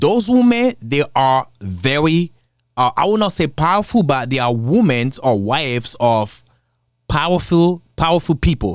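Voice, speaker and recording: A man with an African accent, fairly high in pitch with very wide pitch swings, at a fairly slow pace on a very clean recording with a silent background. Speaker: commentary video creator. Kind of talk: casual commentary. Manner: casual, conversational.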